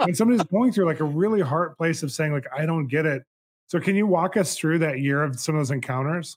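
An enthusiastic man at a fairly high pitch and a very fast pace. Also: ordinary pitch variation. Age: 40s. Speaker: podcast host. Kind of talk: interview conversation.

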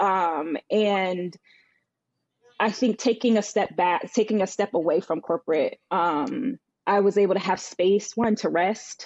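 A woman with an American accent and an unremarkable speaking voice talks at a fairly slow pace and medium pitch, with ordinary pitch variation and very even loudness. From Northern Virginia, US. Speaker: business consultant and former accountant. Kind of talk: casual chat.

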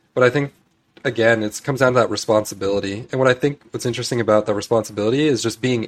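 A man races through his words very fast with fairly even intonation. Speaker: systems designer and developer. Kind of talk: casual interview. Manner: casual, frequent filler words.

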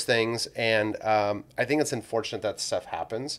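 With an American accent, a man speaks in a normal speaking voice at medium pitch, his intonation lively. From California, San Joaquin Valley. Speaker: financial planner. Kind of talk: podcast interview.

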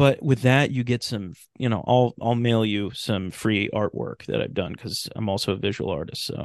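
Against a quiet background, a man with an American accent speaks in an unremarkable speaking voice at medium pitch, moderate pace, ordinary pitch variation, and hardly any pauses. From California, Sacramento. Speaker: radio drama creator and podcast host. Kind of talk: casual interview chat.

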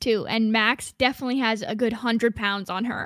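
A woman speaks at a high pitch and a moderate pace. The recording is very clean and silent behind her, with a dry, close sound and no echo. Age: 20s. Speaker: podcast co-host and museum outreach director. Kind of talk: casual chat.

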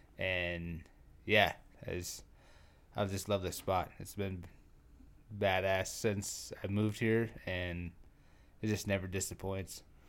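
Very slowly and with long, frequent pauses, a man with very deep, low pitch speaks in monotone, flat intonation. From North Dakota (Trenton, near Williston). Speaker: former professional bull rider. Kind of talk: casual interview conversation.

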